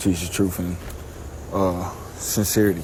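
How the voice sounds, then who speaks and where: A man mumbles at a very deep, low pitch. Audible room echo and noticeable background noise surround him. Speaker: religious teacher. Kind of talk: scripture teaching. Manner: mumbling; casual, halting.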